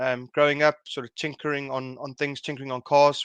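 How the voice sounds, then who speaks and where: Over a quiet background, a man with a South African accent talks at a fairly quick pace with a medium pitch. His intonation is monotone and flat, and the sound is dry and close with no echo. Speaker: secondary school teacher and car enthusiast. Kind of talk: interview. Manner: halting.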